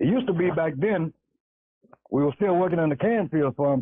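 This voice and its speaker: Speaking at a very fast pace, a man with a Louisiana accent uses a fairly high pitch and ordinary pitch variation. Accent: Southern US (Louisiana). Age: 70s. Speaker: caller. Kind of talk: call-in testimony.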